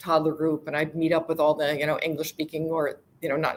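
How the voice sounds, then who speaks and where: A woman with an American accent talks at a very fast pace. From United States. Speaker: global mobility professional. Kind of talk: interview.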